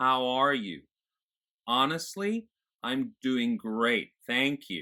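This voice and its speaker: A man puts on a character voice, raised and projected, resonant at a medium pitch, moving at a very slow pace. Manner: demonstrating, warm.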